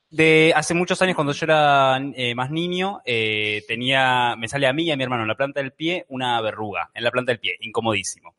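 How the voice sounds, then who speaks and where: At a moderate pace and with hardly any pauses, a man talks at a medium pitch with ordinary pitch variation and an ordinary speaking voice. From Argentina. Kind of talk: casual chat.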